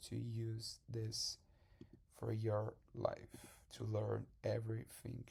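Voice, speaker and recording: A man speaks very slowly in a medium pitch, with a Portuguese accent. His tone is dark and mellow and somewhat breathy. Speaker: salesman and language learner. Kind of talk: tutorial. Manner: halting.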